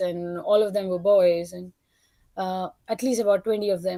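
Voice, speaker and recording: Speaking at a moderate pace with a non-native accent, a woman uses a dark, mellow tone at medium pitch with monotone, flat intonation. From India. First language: not English. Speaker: caller. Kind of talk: testimony. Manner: halting.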